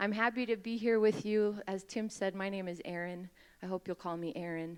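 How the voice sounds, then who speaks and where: Speaking with an American accent, a woman uses a plain, everyday voice at medium pitch with fairly even intonation. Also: fairly quick pace. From Utah. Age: 30s. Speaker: mayoral candidate. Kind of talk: campaign speech.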